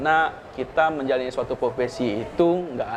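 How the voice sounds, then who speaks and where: Noticeable background noise runs through the clip. A man speaks fairly quickly over it. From Pontianak, West Kalimantan, Indonesia. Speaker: civil servant, regional tax office head. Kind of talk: podcast interview. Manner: halting.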